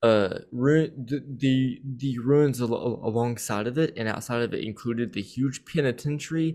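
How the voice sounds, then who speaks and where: A man speaks quietly at medium pitch. His pace is moderate. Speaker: podcast host. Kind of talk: casual chat. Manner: halting, stuttering; quiet but enthusiastic.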